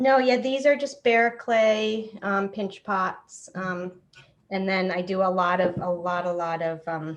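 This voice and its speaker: With an American accent, a woman speaks fairly slowly at a medium pitch and with ordinary pitch variation. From Massachusetts, US. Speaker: ceramics teacher and workshop participant. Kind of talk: casual self-introduction. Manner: halting.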